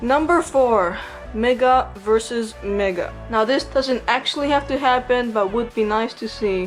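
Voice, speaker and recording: Over background music, a woman mumbles at a fairly slow pace. Her pitch is fairly high, with ordinary variation. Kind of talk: casual commentary to viewers. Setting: home recording with audio issues. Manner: mumbles a lot.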